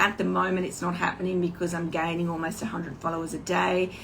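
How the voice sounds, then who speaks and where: In an Australian accent, a woman speaks at a medium pitch, with audible room echo around her voice. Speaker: online business coach. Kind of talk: casual livestream talk. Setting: Instagram live video. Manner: hesitant, many fillers.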